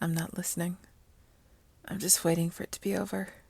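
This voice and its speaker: The voice is somewhat breathy, with a dark, mellow tone. Its intonation is monotone and flat. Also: woman. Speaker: story narrator / ASMR channel host. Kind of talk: story reading, melancholy first-person narration. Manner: soft, melancholic, subdued.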